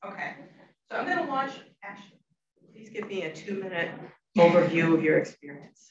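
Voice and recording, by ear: At a moderate pace, a woman with a fairly low pitch speaks in big pitch swings, with audible room echo around her.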